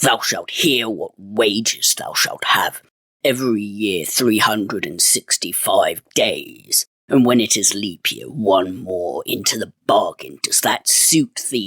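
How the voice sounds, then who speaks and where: Booming and growling, a man puts on a character voice at a medium pitch and a fairly slow pace. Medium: read story. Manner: archaic thee-and-thou speech, growling into his beard.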